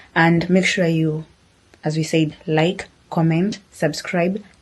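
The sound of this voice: A woman talks slowly in a low pitch, with little pitch movement. Her voice carries a slightly husky edge.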